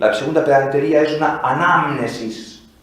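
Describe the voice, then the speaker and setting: A man with lively intonation against noticeable background noise. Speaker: priest giving a liturgy lecture. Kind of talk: lecture. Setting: basilica with live audience. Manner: animated, conversational.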